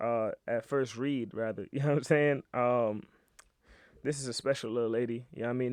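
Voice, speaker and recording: With an American accent, a man talks at a fairly quick pace in an unremarkable speaking voice, medium in pitch with fairly even intonation, against a quiet background. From New York. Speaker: YouTube show host. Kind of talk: casual comedic monologue.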